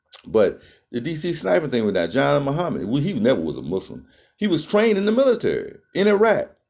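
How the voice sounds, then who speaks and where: A man's fairly quick speech with vocal fry and very wide pitch swings. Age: 60s. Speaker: health talk vlogger. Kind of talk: casual monologue. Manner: halting.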